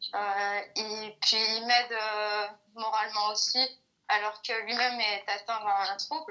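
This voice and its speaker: A woman's fairly high voice at a very slow pace, with fairly even intonation. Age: 20s. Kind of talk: interview answer. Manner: hesitant, many filler sounds.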